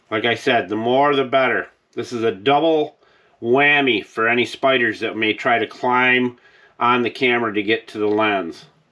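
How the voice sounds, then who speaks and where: A man in a plain, everyday voice keeps a medium pitch, a moderate speed, and fairly even intonation. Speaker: DIY video host. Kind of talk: tutorial.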